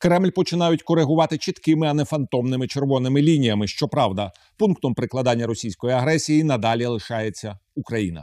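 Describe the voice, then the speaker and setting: On a very clean, dry, close recording with a silent background and no echo, a man with a Ukrainian accent speaks fairly quickly at medium pitch, his dark, mellow tone paired with lively intonation. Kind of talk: TV interview. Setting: TV studio.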